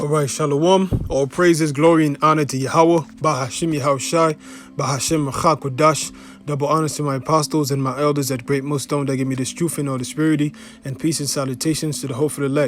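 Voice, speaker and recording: Music plays in the background while a man with a Haitian accent talks at a very fast pace. His pitch is fairly high and his intonation fairly even. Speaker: religious teacher. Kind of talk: religious teaching video. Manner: casual, filler-heavy.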